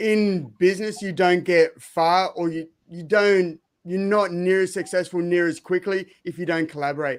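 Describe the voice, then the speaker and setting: In an Australian accent, a man speaks with a high pitch and fairly even intonation at a moderate pace. The recording is very clean, with a silent background. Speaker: speaker and former fighter. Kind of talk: panel discussion.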